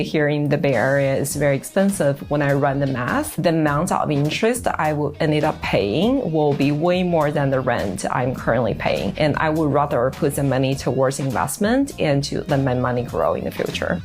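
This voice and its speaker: A woman's very deep, low voice with lively intonation, very even loudness and hardly any pauses, over music in the background. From China. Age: 30s. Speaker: AI product professional. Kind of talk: interview testimony.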